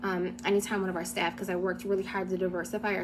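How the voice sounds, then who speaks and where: A woman talks at a very fast pace, with audible room echo and noticeable background noise. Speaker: former nonprofit director sharing experiences. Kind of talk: personal testimony. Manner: hesitant with fillers.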